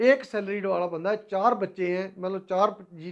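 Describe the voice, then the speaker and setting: The pace is moderate as a man talks. Behind him the background is quiet. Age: 60s. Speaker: personal finance YouTuber; teacher. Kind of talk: advice talk to camera; lecture. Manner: conversational, halting. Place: classroom. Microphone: lapel.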